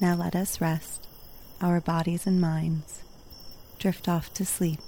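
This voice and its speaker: A woman speaks very slowly in a fairly low, somewhat breathy voice with a dark, mellow tone. Her delivery is gentle and soothing, with monotone, flat intonation. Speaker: sleep story narrator. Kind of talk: bedtime story reading aloud. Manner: soothing, calm; slow, gentle, unhurried.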